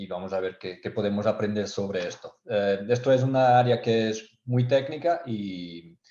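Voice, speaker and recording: A man speaks in a dark, mellow tone with fairly even intonation against a quiet background. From Portugal. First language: Portuguese (speaking Spanish). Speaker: technical sales engineer. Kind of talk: webinar presentation. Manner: halting, many fillers and repetitions.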